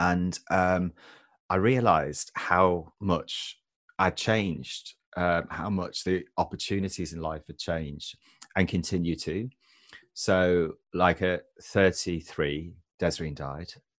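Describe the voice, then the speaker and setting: A man speaks very slowly in an English accent, his pitch very deep and low. His intonation stays fairly even against a quiet background. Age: 40s. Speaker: author and widower. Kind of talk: interview.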